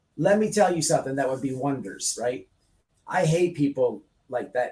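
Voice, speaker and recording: Speaking at a fairly quick pace with an American accent, a man sounds somewhat breathy and animated, his fairly high pitch carried by lively intonation. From United States. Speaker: online radio host. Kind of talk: heated discussion.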